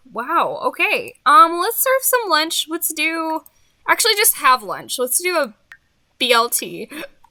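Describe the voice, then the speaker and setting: A woman uses a raised, projected voice at an extremely high pitch, with a bright, sharp tone, very wide pitch swings and a fairly slow pace, in a dry, close sound with no echo. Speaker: gaming YouTuber. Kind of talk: let's play commentary. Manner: casual, chatty.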